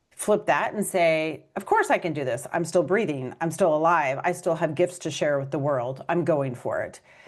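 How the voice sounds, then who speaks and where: The speaker uses a normal speaking voice at a moderate pace with hardly any pauses. Pitch variation is ordinary. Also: woman, fairly low pitch for a woman. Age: 50s. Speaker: author and podcast host. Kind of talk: interview.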